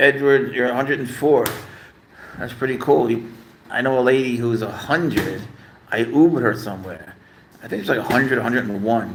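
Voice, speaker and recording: An animated tone at a fairly quick pace, with ordinary pitch variation, long, frequent pauses and audible room echo. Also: man, medium pitch for a man. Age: 60s. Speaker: pet livestreamer. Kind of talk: casual live stream chat.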